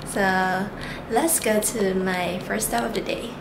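Noticeable background noise behind a woman speaking. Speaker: travel vlogger. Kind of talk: casual vlog chat. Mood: excited, cheerful. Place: home room. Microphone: phone near.

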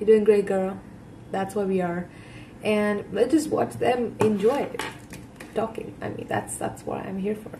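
A woman talks at a fairly slow pace with long, frequent pauses and big swings in loudness, amid noticeable background noise. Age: 20s. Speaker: YouTube reaction creator. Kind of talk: casual reaction commentary. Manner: animated. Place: home room. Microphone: webcam.

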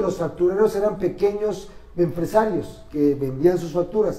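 This man's voice sits high in pitch, with ordinary pitch variation. He talks at a moderate pace, and room echo is audible. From Mexico. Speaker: political commentator and columnist; political commentator. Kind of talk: casual political debate. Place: studio. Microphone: camera far.

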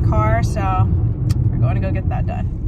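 The voice belongs to a woman. Loud background noise fills the dry sound, which has no echo. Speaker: vlogger. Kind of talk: casual vlog chat. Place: car. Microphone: phone near.

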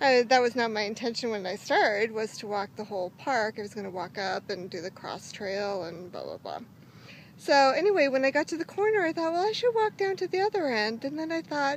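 Very wide pitch swings and big swings in loudness mark this voice, recorded with a dry sound with no echo and light background noise. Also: woman, high pitch for a woman, fairly quick pace. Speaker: daily vlogger. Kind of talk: casual vlog chat. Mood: cheerful, proud. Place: open country. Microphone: phone near.

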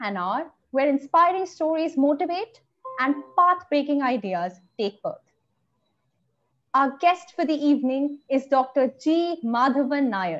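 Music plays behind a woman with a high pitch who speaks at a fairly slow pace, leaving long, frequent pauses. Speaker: event host. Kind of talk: scripted introduction. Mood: cheerful, smiling. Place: home room. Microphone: video call.

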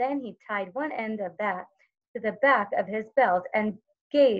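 Against a quiet background, the clip offers plain reading aloud.

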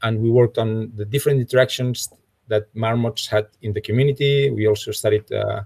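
Somewhat breathy, a man speaks at a moderate pace with ordinary pitch variation against a quiet background. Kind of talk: lecture. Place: home room. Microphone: webcam.

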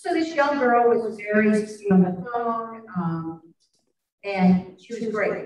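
This woman's voice is fairly high. She speaks very slowly. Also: lively intonation. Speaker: audience member and club member. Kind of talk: audience question and discussion. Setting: forum with live audience. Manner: outgoing.

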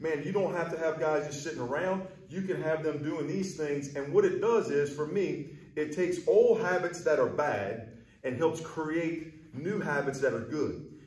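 A man at a moderate pace with ordinary pitch variation and audible room echo. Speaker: baseball hitting coach. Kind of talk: tutorial. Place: hall.

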